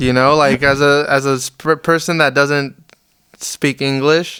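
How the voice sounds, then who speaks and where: A man with a Spanish accent, medium-pitched, bright and sharp in tone, with fairly even intonation. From Las Vegas, US. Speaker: musician. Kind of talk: interview. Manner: casual, hesitant with many fillers.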